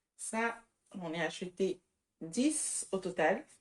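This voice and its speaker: With a non-native accent, a woman speaks at a medium pitch and with lively intonation. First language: not French (speaking French). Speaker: vlogger. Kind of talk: casual vlog. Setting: outdoor market.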